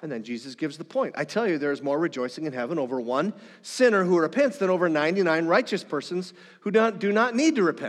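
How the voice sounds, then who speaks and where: Speaking very fast, a man with an American accent uses a high pitch and very wide pitch swings. The background is quiet. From northern Minnesota. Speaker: pastor. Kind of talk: sermon.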